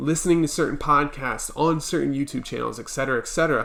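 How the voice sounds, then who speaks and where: This man's fairly high voice has a bright, sharp tone and fairly even intonation. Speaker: business coach. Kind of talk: tutorial. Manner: casual, with fillers.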